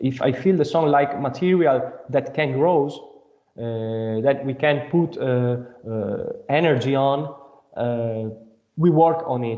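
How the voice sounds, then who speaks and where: A man talks at a very slow pace with a non-native accent. His voice is fairly high, with ordinary pitch variation. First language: not English. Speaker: band member, singer/songwriter. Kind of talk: interview. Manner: halting.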